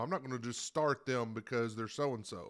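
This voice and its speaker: On a very clean recording with a silent background, a man speaks at a moderate pace with medium pitch and fairly even intonation. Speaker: sports podcast panelist. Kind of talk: casual chat. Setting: studio. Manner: loud.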